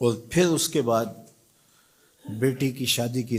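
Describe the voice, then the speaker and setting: A man talks at medium pitch in a normal speaking voice. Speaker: Islamic preacher. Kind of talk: religious sermon (bayan) on marriage customs.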